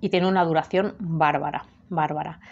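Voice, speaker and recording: A woman talks at a fairly slow pace, her medium pitch held in fairly even intonation. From Spain. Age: 30s. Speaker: perfume youtuber. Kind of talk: product review. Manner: halting. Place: home room. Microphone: webcam.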